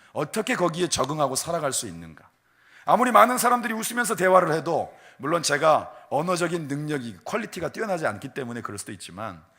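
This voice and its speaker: A man speaks at a very fast pace and fairly high pitch, his tone bright and sharp with vocal fry. His pitch swings very widely and his loudness shifts a lot. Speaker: pastor. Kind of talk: sermon.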